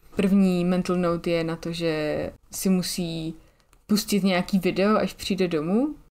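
The recording is very clean, with a silent background. A woman with a dark, mellow tone speaks at medium pitch and a moderate pace, with fairly even intonation. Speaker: podcast co-host. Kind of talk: casual chat.

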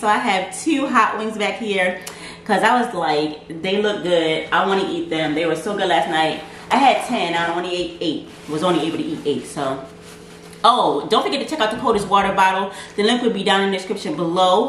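A woman talks at a fairly quick pace with audible room echo and light background noise. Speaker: food vlogger. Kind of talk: casual vlog chat. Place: kitchen. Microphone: camera far.

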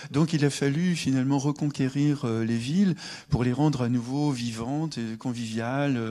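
Over a quiet background, a man with a medium pitch and dark, mellow tone speaks at a fairly slow pace with ordinary pitch variation. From France, Le Mans; France. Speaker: sociologist; guest. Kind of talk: public debate. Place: stage. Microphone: handheld.

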